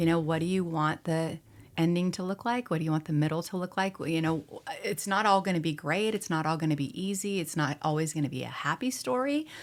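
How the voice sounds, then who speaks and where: Speaking at a fairly quick pace with an American accent, a woman uses an ordinary speaking voice at a fairly low pitch with ordinary pitch variation, in a very clean recording with a silent background. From Spokane, US. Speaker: former news anchor turned auctioneer. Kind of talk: podcast interview answer.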